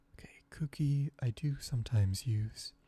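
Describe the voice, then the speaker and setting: A soft-spoken, somewhat breathy voice with a dark, mellow tone. It sounds relaxed, with ordinary pitch variation. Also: man. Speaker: ASMR creator. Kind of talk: ASMR gaming commentary. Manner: soft-spoken, relaxed.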